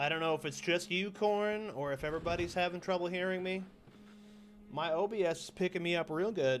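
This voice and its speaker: A loud, high-pitched man at a fairly quick pace, with ordinary pitch variation. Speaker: gaming streamer. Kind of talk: live gameplay stream chat.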